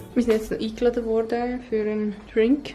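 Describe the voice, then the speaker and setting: Over noticeable background noise, a woman in a Swiss accent speaks at a moderate pace and fairly high pitch with fairly even intonation. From Switzerland. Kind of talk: casual vlog talk to camera.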